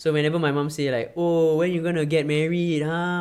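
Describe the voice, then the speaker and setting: A man with a Singaporean accent speaks at a fairly high pitch. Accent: Singaporean English (Singlish). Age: 20s. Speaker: content creator and film director. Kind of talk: casual chat. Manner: halting.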